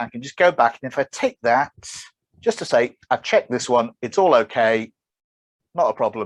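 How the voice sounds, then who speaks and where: A man speaks at a moderate pace with very wide pitch swings. The recording is very clean with a silent background and a dry, close sound with no echo. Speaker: software developer and conference speaker. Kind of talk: presentation.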